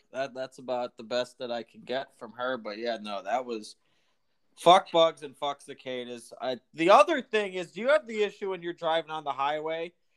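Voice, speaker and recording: A man uses a normal speaking voice, fairly high in pitch, at a moderate pace with lively intonation and big swings in loudness, in a dry, close sound with no echo. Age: 20s. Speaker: podcast co-host. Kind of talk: casual chat.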